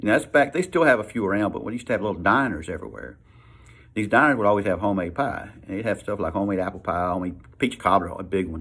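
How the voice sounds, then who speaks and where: At a very fast pace, the speaker uses a Southern US accent with ordinary pitch variation, in a very clean recording with a silent background. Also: man, fairly low pitch for a man. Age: 60s. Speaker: vlogger, military veteran. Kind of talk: casual talk to camera. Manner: halting, repeats words.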